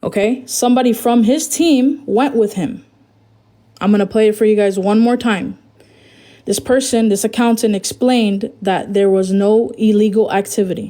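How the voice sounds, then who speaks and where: In a dark, mellow tone, the speaker keeps a very even loudness and ordinary pitch variation at a moderate pace, on a very clean recording with a silent background. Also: woman, fairly high pitch for a woman. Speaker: former talent manager. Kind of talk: livestream self-defense. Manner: stuttering.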